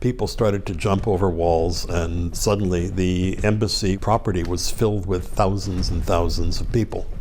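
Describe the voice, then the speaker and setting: Against audible room echo, a man with an American accent and a very deep, low pitch speaks at a moderate pace in a monotone, flat intonation, with very even loudness and hardly any pauses. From northeastern Pennsylvania, US. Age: 70s. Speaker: former hostage, diplomat. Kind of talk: interview.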